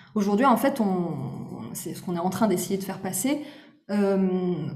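A woman speaks at a fairly slow pace with audible room echo and noticeable background noise. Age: 30s. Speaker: content creator. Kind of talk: casual chat. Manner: animated.

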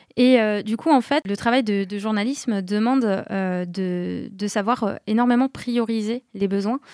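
A woman with a plain, everyday voice speaks fairly slowly at a medium pitch with fairly even intonation, in a very clean, dry, close recording with a silent background and no echo. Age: 30s. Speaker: office manager, former journalist. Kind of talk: interview.

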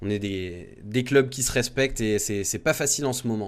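With a normal speaking voice at a medium pitch, a man talks with ordinary pitch variation. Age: 20s. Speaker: radio host, football supporters' show. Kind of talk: casual chat.

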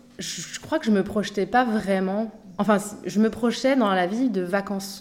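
A woman talks in a voice of medium pitch. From Paris, Montmartre. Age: 40s. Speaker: podcast guest, mother who moved abroad. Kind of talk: interview testimony. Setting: improvised studio. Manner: hesitant, many fillers.

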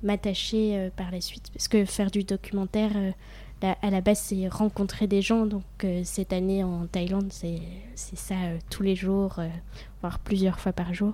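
Somewhat breathy and dark, mellow in tone, a woman speaks at a medium pitch with monotone, flat intonation. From France, Franche-Comté (near Besançon). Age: 20s. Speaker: humanitarian volunteer. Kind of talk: interview.

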